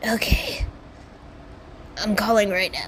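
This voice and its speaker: A put-on, female-sounding character voice in a whisper, with clear background noise. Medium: solo performance. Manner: nervous, hesitant.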